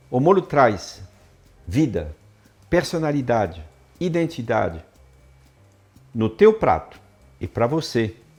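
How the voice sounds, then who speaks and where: Music plays behind a man of medium pitch who speaks very slowly, with long, frequent pauses and very wide pitch swings. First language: French (speaking Portuguese). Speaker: chef and cooking teacher. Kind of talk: online class presentation.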